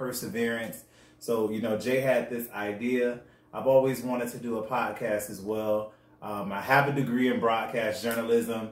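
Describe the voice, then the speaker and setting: This man has an ordinary speaking voice, pitched at a medium level, with fairly even intonation at a moderate pace. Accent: American. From US South, West Palm Beach, Florida. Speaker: podcast co-host. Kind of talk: casual chat.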